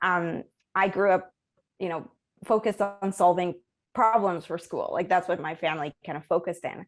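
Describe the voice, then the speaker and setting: In a very clean recording with a silent background, a woman of medium pitch speaks at a moderate pace with fairly even intonation. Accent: Spanish. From Colombia, Bogota. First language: Spanish. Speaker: ecology professor. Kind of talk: interview. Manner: many filler words and restarts.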